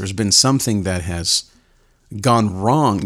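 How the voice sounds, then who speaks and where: At a moderate pace, a man talks in a plain, everyday voice, fairly low in pitch with ordinary pitch variation. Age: 40s. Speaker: faith podcast host. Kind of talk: solo podcast monologue.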